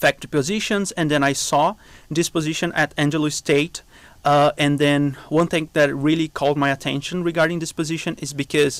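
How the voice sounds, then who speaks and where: With a Brazilian accent, the speaker goes at a fairly quick pace in a monotone, flat delivery, recorded with a dry, close sound and no echo. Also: man. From southern Brazil. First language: Portuguese. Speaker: biology professor. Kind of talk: interview.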